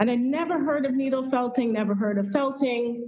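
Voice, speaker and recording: A high-pitched woman's voice with an American accent. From Houston, Texas. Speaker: fiber artist. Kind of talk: interview. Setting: video call from a gallery. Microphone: echo, hollow sound from large gallery.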